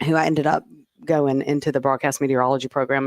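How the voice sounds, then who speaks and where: Speaking very fast with a Mississippi accent, a woman comes through in a dry, close sound with no echo. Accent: Southern US (Mississippi). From Mississippi, US South. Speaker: TV meteorologist. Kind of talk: casual podcast interview. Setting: podcast studio.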